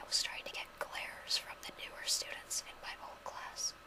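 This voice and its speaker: A woman whispers over noticeable background noise. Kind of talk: casual talk to camera. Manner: whispered.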